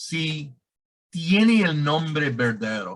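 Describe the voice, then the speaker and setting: A man with a non-native accent, fairly high in pitch, talking at a very slow pace with lively intonation. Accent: non-native Spanish speaker. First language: English (speaking Spanish). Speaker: director of an anti-scam organization. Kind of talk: interview. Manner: halting.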